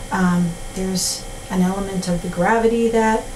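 Noticeable background noise beneath a monotone, flat delivery. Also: woman. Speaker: pottery teacher. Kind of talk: tutorial. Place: workshop.

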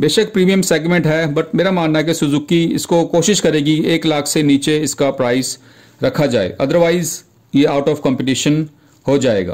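A man with a plain, everyday voice speaks at a fairly high pitch with ordinary pitch variation and very even loudness. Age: 40s. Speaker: YouTube auto news presenter. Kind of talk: casual video commentary.

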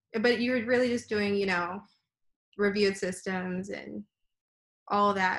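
Against a quiet background, a woman with an American accent speaks at a fairly slow pace with fairly even intonation. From Texas, Houston. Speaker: dental student. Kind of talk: interview. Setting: video call. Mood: relaxed, reflective. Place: home room. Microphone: video call.

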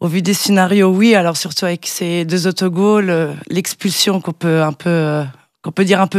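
A woman speaks at a moderate pace with fairly even intonation. The sound is dry with no echo, and the background is quiet. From Switzerland. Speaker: football pundit. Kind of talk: sports analysis interview. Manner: hesitant, many fillers. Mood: calm, analytical. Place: studio. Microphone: studio mic.

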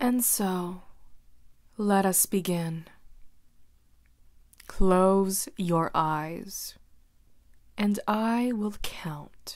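Soft-spoken delivery with long, frequent pauses over a quiet background. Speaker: hypnosis roleplay narrator. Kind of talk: slow scripted hypnotic roleplay. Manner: soft, slow hypnotic ASMR voice.

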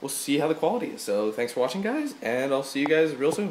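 A man at a very fast pace with very wide pitch swings, over noticeable background noise. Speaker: gaming YouTuber. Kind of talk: unboxing video. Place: home room. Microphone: cheap USB mic picking up TV echo; phone near.

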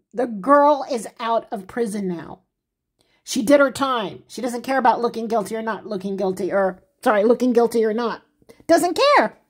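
A female-sounding voice puts on a character. Its pitch is fairly high for a woman. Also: moderate pace. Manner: annoying gossipy tone.

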